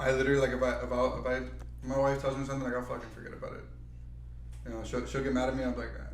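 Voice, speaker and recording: Noticeable background noise and audible room echo accompany a man speaking at a very fast pace. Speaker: podcast co-host. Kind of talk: casual chat.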